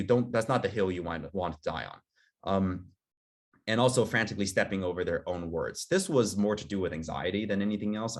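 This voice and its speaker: Recorded very cleanly over a silent background, a man speaks with fairly low pitch and ordinary pitch variation. He has an ordinary speaking voice. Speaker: admissions interview coach. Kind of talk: workshop presentation.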